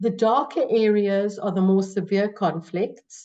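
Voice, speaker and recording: With a South African accent, a woman speaks at a fairly slow pace. Her pitch is fairly high and her tone dark and mellow. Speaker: psychology professor. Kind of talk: webinar presentation.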